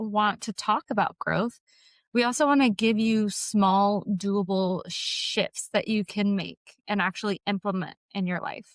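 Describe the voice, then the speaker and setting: A woman with an unremarkable speaking voice talks at a fairly high pitch. The recording is very clean with a silent background and a dry, close sound with no echo. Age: 20s. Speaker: podcast co-host and health coach. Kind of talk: casual podcast conversation.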